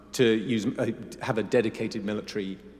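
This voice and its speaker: This man speaks with a British accent at a medium pitch. His pitch variation is ordinary. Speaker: military officer. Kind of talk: panel interview.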